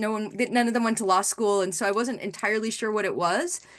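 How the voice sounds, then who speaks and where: A woman with an American accent speaks at a fairly quick pace in a plain, everyday voice. Her pitch is fairly high, and the background is quiet. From New York City (the Bronx). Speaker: lawyer. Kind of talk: panel discussion. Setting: webinar video call.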